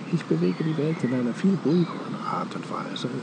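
A man with lively intonation, over noticeable background noise. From Germany. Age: 70s. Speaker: meditation teacher. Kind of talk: casual chat. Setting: outdoors.

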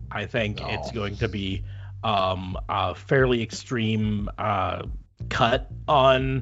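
A man speaks with vocal fry. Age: 40s. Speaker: wrestling podcast host. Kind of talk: casual chat.

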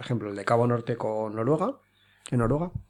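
A man's medium-pitched voice with ordinary pitch variation, an ordinary speaking voice. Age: 30s. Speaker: podcast host, survival school founder. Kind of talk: interview. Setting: home recording.

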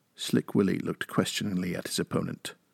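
The speaker is a man. The sound is dry and close, with no echo. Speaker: co-host; podcast co-host and interviewer. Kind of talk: podcast hosting, interview and story reading.

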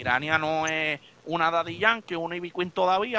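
Bright and sharp in tone, a man speaks at a high pitch in an animated way. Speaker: DJ and live-stream host. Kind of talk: casual chat. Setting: live stream.

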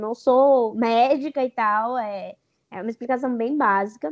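A woman talks at a fairly slow pace. Her voice is high-pitched. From Brazil, São Paulo (East Zone). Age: 20s. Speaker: digital influencer. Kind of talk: interview.

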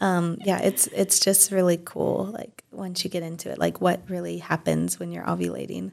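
Her loudness swinging widely, a woman talks with hardly any pauses. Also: moderate pace. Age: 30s. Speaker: Chinese medicine practitioner. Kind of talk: casual interview chat.

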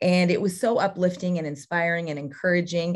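This is a woman with an unremarkable speaking voice and medium pitch. She talks at a moderate pace against a quiet background. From California, Central Valley. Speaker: college cross country head coach. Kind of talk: podcast interview.

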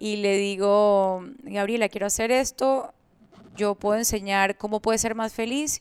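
A woman with an ordinary speaking voice talks at a medium pitch with fairly even intonation, in a dry, close sound with no echo. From Colombia, moved to Panama at 10. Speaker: entrepreneur and coach. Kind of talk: interview.

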